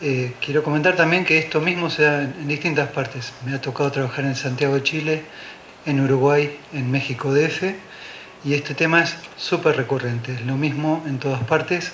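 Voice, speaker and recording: Over noticeable background noise and audible room echo, a man with a fairly high pitch speaks at a moderate pace with fairly even intonation. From Argentina, Buenos Aires. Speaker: architect, conference speaker. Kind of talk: conference talk. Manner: hesitant fillers (eh).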